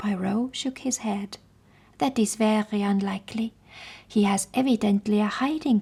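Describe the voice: What you hear is plain reading aloud.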